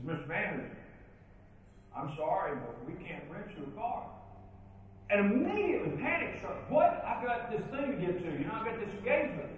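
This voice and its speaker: High-pitched man at a fairly quick pace, very wide pitch swings, strong room echo and light background noise. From western Kentucky (Princeton, Caldwell County). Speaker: professional speaker and leadership trainer. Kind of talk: keynote speech. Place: hall.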